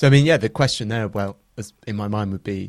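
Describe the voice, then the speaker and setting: Very fast speech from a man with a fairly low pitch and an English accent, on a very clean recording with a silent background. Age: 30s. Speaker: founder of an SEO software company. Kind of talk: podcast interview.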